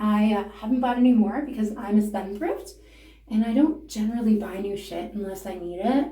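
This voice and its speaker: With a Canadian accent, a woman speaks at a moderate pace and a fairly high pitch with ordinary pitch variation, amid noticeable background noise and audible room echo. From Canada. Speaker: beauty and comedy vlogger. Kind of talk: casual makeup tutorial. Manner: casual, rambling, profane.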